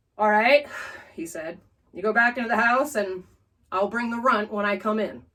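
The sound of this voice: An unforced reading voice comes through with a quiet background behind it.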